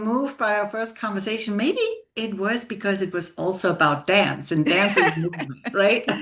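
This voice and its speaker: Amid noticeable background noise, a woman talks at a moderate pace with lively intonation. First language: not English. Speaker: leadership coach. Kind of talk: interview conversation.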